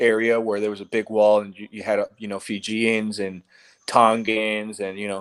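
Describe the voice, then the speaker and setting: This man talks at a moderate pace in a fairly low voice, his intonation monotone and flat. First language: Spanish. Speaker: podcast guest. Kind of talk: casual chat. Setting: live online stream. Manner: halting, repeats words.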